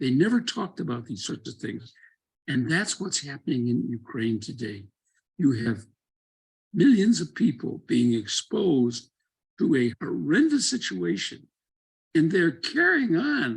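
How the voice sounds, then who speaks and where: A man speaks with vocal fry and very wide pitch swings. Long, frequent pauses break up his speech. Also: fairly high pitch for a man. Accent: American. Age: 80s+. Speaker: former congressman and doctor. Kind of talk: panel talk.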